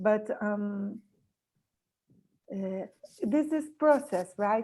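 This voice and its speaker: A somewhat breathy woman's voice with a dark, mellow tone, fairly high pitch, lively intonation and a very slow pace. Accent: Portuguese. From Brazil. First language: Portuguese. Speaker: coaching student. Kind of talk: question in online class. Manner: halting.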